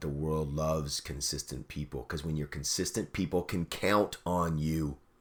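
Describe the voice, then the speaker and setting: An animated man with a Canadian accent on a very clean recording with a silent background. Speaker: radio host and fitness coach. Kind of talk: motivational talk. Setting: call with listeners.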